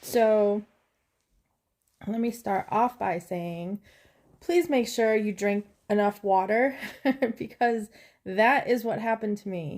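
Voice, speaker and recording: Very slow and quiet, a woman speaks with a fairly high pitch and ordinary pitch variation. Long, frequent pauses break up her speech on a very clean recording with a silent background. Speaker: vlogger. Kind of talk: casual update to viewers.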